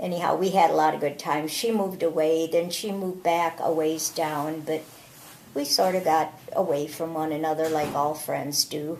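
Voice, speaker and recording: A woman with a very deep, low voice talks at a moderate pace with fairly even intonation. Noticeable background noise can be heard. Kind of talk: family memoir interview.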